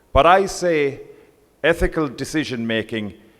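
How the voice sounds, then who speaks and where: Very wide pitch swings mark this man's fairly slow speech in an Irish accent. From Ireland. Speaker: professional body president. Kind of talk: conference speech. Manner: formal.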